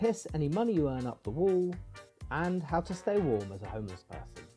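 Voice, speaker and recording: Music plays behind a man with a fairly high pitch who talks at a fairly quick pace. His pitch swings very widely, and his loudness rises and falls sharply. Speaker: comedian. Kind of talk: comedic video essay narration.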